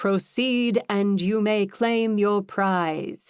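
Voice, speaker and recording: On a very clean recording with a silent background, a woman uses a put-on character voice at medium pitch. She speaks at a very slow pace with ordinary pitch variation. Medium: read story. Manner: grand, theatrical.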